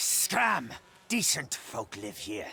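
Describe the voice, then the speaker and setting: In a put-on character voice, a man growls at a medium pitch. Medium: video game. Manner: belligerent, blustering.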